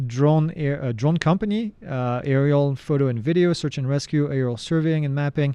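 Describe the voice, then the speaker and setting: Dark and mellow in tone, this voice moves at a fairly quick pace with a French accent and ordinary pitch variation. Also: man. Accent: French accent, often taken for Canadian. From France. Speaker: drone instructor and live Q&A host. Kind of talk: live Q&A answering viewer questions. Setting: livestream. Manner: casual, conversational.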